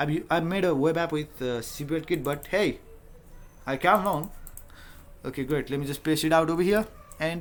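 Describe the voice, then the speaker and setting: A man with a Nepali accent and a fairly high pitch, moving at a moderate pace with ordinary pitch variation and long, frequent pauses. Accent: South Asian (Nepali) English. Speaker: software developer and tutorial creator. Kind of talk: live coding tutorial. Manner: casual, thinking aloud with fillers.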